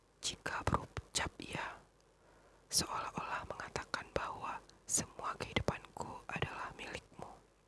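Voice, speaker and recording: Fairly slow whispered words amid noticeable background noise. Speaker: ASMR reader; teacher. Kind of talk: ASMR story reading.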